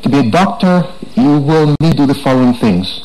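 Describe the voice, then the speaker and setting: The speaker is a man with a fairly high pitch. Audible room echo and noticeable background noise fill the recording. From Jamaica. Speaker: tech entrepreneur speaker. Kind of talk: conference talk. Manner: fast.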